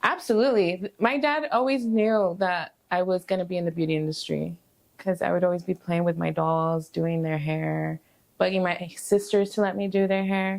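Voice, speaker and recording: In a normal speaking voice, a woman with an American accent talks at a moderate pace, at a medium pitch with ordinary pitch variation. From Southern California. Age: 30s. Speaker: barber. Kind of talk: casual interview.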